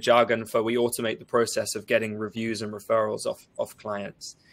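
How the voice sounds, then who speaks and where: At a fairly quick pace, a man with a medium pitch speaks in an English accent. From England. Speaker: partnerships manager at a software company. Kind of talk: live webinar panel discussion. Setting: live stream webinar.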